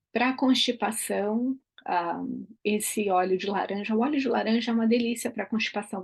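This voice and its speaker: The voice is somewhat breathy, with ordinary pitch variation and a moderate pace. The background is quiet. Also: woman. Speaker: aromatherapy educator. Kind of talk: online class.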